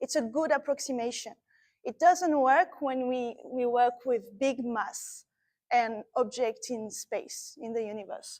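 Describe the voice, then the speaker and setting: A woman with a French accent speaks slowly-ish, at a fairly slow pace, with a high pitch and ordinary pitch variation. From France. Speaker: astrophysicist. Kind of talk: lecture. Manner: animated.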